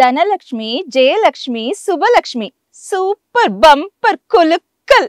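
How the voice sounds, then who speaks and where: A woman puts on a character voice at an extremely high pitch, speaking very slowly in a sing-song way with very wide pitch swings. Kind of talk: Chennai slang. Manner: sing-song, bouncing rhythm with head-shaking.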